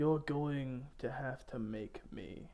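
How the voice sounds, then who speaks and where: Medium pitch from a man doing a put-on character voice. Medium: actual play. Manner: haughty, defiant.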